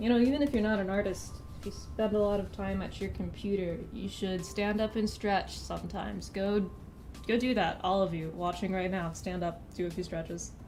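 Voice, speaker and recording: A woman with an American accent at a moderate pace, amid audible room echo. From rural Missouri, US Midwest. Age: 20s. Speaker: artist streamer. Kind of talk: casual live stream chat while drawing.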